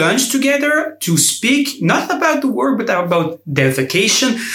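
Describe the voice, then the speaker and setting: There is noticeable background noise behind a man. He talks at a moderate pace with lively intonation. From Belgium. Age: 20s. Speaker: law graduate, summer intern. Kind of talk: interview.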